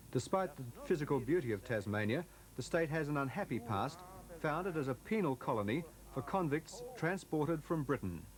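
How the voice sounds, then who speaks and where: A normal speaking voice from a man, fairly high in pitch, with lively intonation and a fairly quick pace. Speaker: news reporter. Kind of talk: television news report narration.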